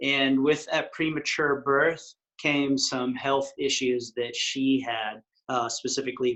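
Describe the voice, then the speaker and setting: A man's plain, everyday voice at medium pitch, with an American accent, a fairly slow pace and fairly even intonation. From West Texas. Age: 40s. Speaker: retreat chef. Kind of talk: interview.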